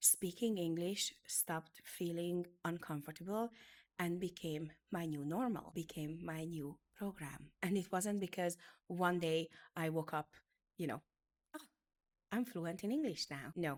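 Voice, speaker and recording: On a very clean recording with a silent background, a woman with a Hungarian accent speaks at a fairly slow pace, her fairly low pitch showing ordinary variation. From Hungary. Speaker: beauty business educator. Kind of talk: motivational talk.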